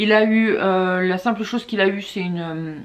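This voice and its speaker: Monotone, flat intonation marks this woman's medium-pitched voice. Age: 20s. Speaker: mother of two, YouTuber. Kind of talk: casual talk to camera.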